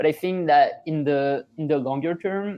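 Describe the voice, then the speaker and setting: Speaking with a French accent, a man keeps a moderate pace and ordinary pitch variation. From France. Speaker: startup founder. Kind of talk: podcast interview. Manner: halting, many fillers and restarts.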